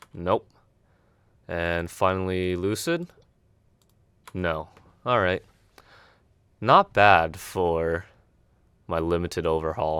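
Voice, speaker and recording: Over a silent background in a very clean recording, a man talks very slowly in a very deep, low pitch, his tone bright and sharp, his intonation fairly even, with long, frequent pauses. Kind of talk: gameplay commentary.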